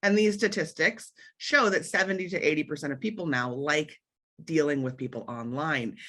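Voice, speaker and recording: A woman speaks with a very deep, low pitch and very wide pitch swings. The background is quiet. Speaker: marketing consultant. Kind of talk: webinar presentation. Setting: online video event. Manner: fast.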